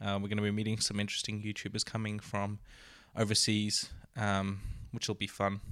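A man with an Australian accent talks at a fairly quick pace in a fairly low pitch, his intonation monotone and flat. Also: very clean recording, silent background. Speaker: podcast co-host, YouTuber. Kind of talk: casual chat. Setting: studio.

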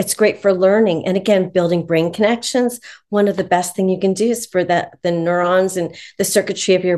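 An ordinary speaking voice from a woman, medium in pitch, with fairly even intonation at a fairly quick pace. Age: 60s. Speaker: author and positive psychology professional. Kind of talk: interview conversation. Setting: video call.

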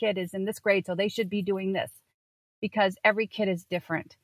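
A woman with a plain, everyday voice, medium in pitch and fairly quick, her intonation fairly even, in a dry, close sound with no echo. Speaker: homeschool consultant. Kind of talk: casual chat. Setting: remote recording from a parked car.

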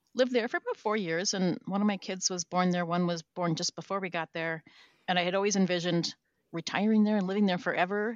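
In an American accent, a woman races along at a very fast pace, her medium-pitched voice keeping a fairly even intonation. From Minnesota. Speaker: organizational change manager. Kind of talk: interview.

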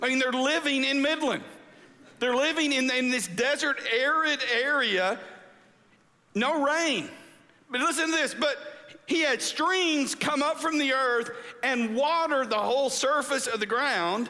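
A man with an extremely high pitch and a bright, sharp tone speaks in a raised, projected voice at very even loudness, with audible room echo. He moves at a fairly slow pace with long, frequent pauses. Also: ordinary pitch variation. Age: 50s. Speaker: pastor. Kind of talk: sermon.

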